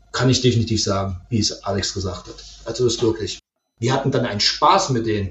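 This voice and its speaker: A man's somewhat breathy voice at medium pitch, fairly quick in pace, with ordinary pitch variation. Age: 30s. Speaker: IT administrator and host father. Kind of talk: casual interview.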